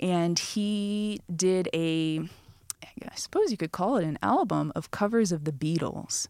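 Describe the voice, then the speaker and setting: A woman with an American accent, an ordinary speaking voice, fairly low in pitch with ordinary pitch variation, at a fairly slow pace. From Michigan, US (Flint). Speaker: classical cellist. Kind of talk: casual interview. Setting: studio.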